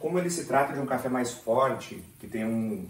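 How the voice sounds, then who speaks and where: A medium-pitched male voice with lively intonation, with noticeable background noise and audible room echo. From southern Brazil, Porto Alegre area (Rio Grande do Sul). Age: 40s. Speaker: software QA professional and channel creator. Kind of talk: casual personal vlog while making coffee.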